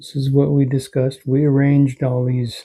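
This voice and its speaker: A man speaks at a fairly slow pace in a dark, mellow tone that is somewhat breathy. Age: 60s. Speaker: heart attack survivor; father and grandfather. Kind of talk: personal life story to camera. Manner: reflective, heartfelt.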